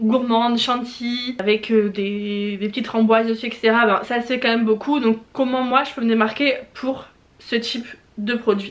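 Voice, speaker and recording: Her voice fairly high in pitch, a woman speaks at a moderate pace with monotone, flat intonation. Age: 20s. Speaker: small business owner and YouTuber. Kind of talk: tutorial. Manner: hesitant, many fillers.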